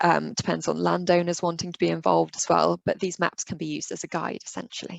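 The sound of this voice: A woman speaks at a fairly quick pace in a fairly low pitch, with vocal fry and little pitch movement. The sound is dry and close, with no echo.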